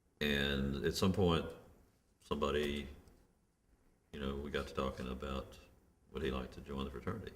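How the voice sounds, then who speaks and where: With a Memphis accent, a man speaks at a very deep, low pitch with vocal fry. His intonation is fairly even, broken by long, frequent pauses. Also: moderate pace. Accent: Southern US (Memphis). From Memphis, Tennessee. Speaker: criminal justice reform activist. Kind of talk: oral history interview answer.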